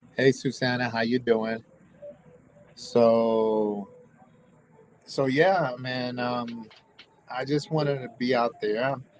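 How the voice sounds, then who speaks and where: A very slow American accent with long, frequent pauses and fairly even intonation, over noticeable background noise. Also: man, medium pitch for a man. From US South, Tampa, Florida. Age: 50s. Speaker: tattoo shop owner and convention organizer. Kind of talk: casual livestream chat. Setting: live stream from his tattoo shop. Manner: halting, repetitive.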